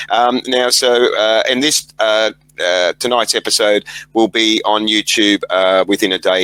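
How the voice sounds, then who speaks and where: With an Australian accent, a man speaks at a fairly low pitch in a bright, sharp tone with fairly even intonation, the sound dry and close with no echo. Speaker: podcast host. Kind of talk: interview. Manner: halting.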